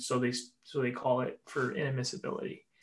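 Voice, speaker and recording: With a Canadian accent, a man with an unremarkable speaking voice and a fairly high pitch talks at a fairly quick pace, using ordinary pitch variation. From Vancouver area, British Columbia. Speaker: immigration and refugee lawyer. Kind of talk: casual chat.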